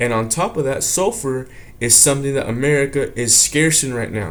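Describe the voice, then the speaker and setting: In an ordinary speaking voice, a man with a fairly high pitch talks at a moderate pace with ordinary pitch variation. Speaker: religious teacher. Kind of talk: religious lesson. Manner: casual.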